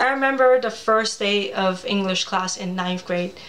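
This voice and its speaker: A woman's fairly high voice with a Cantonese accent, fairly even intonation, a fairly slow pace and noticeable background noise. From Hong Kong. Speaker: children's author. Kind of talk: personal storytelling presentation. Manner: casual, chatty.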